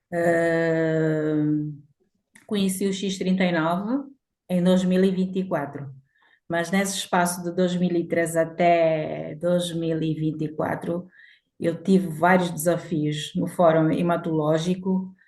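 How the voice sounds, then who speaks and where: Very slowly, a woman speaks in a monotone, flat intonation at a fairly low pitch. The background is quiet. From Angola. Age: 60s. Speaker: patient giving testimony. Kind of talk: testimony.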